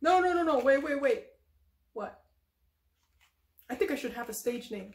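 A woman in a cartoonish character voice speaks at a moderate pace with a high pitch. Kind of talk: improvised comedy puppet skit. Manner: excitable, emotional.

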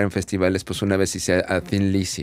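The sound is dry, without any echo. A man talks at a moderate pace. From Mexico City. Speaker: audio engineer; guest. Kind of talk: casual chat. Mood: relaxed, casual slang. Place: studio. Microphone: studio mic.

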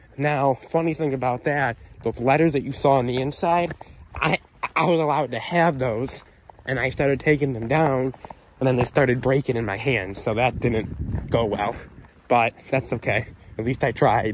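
A man at a moderate pace, in a dry sound with no echo, with light background noise. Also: ordinary pitch variation. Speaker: urban explorer vlogger. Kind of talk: casual vlog commentary. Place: street. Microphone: phone near.

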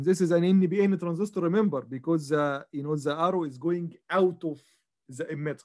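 Over a quiet background, a man speaks at a fairly quick pace, his high voice dark and mellow in tone with ordinary pitch variation. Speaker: instructor. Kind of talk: lecture.

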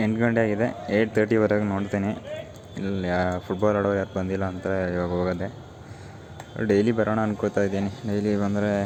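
A man's intonation stays monotone and flat, with noticeable background noise underneath. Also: fairly low pitch for a man. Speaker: vlogger. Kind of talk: vlog narration.

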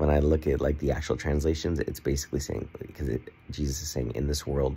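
A man speaks with a very deep, low pitch, a dark and mellow tone, vocal fry, and fairly even intonation over light background noise. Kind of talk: casual vlog chat. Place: home room. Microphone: phone near.

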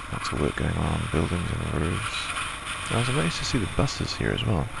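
A man speaks at a fairly quick pace. His voice sounds dry with no echo, and the background noise is loud. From New Zealand. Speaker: motorcycle vlogger. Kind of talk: motovlog voice-over. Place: home room.

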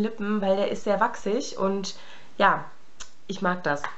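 A woman at a medium pitch, speaking fairly slowly, with noticeable background noise. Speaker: beauty vlogger. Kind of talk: casual chat. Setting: home room, filming alone. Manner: casual, chatty, many fillers.

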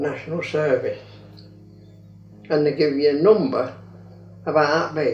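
Faint music plays behind a man who talks at a moderate pace with ordinary pitch variation. He leaves long, frequent pauses, and the room echo is audible. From England. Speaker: grandfather. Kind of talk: interview answer. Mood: amused, reminiscing.

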